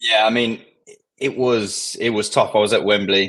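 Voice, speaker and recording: A man's bright, sharp voice with flat, monotone intonation and a strong southern English accent. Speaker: football fan guest. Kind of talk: casual chat.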